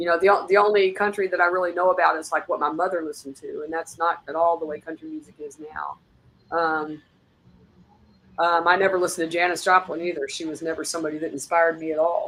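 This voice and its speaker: A woman's fairly low voice at a very fast pace, monotone and flat. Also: big swings in loudness. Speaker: singer-songwriter. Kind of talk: interview. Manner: casual, hesitant with fillers.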